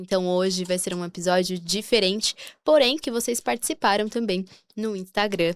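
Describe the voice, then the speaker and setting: This very clean recording with a silent background has a woman speaking at medium pitch and a moderate pace. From southern Brazil, Curitiba. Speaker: neuropsychologist and podcast host. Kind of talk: personal storytelling monologue. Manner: casual, conversational with hesitations.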